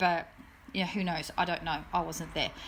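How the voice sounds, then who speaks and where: Here a woman speaks with an Australian accent and a fairly low pitch. The recording is very clean with a silent background. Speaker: true crime youtuber. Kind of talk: casual monologue update. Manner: fast.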